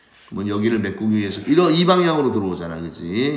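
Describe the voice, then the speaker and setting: Very wide pitch swings amid noticeable background noise and audible room echo. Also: man. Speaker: science teacher. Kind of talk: lecture.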